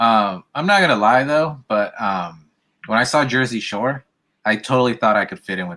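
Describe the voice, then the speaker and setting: At a moderate pace, a man of medium pitch speaks with a slight Californian accent, a bright, sharp tone, lively intonation and big swings in loudness. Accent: slight California West Coast. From US West Coast. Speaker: podcast host. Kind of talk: casual chat.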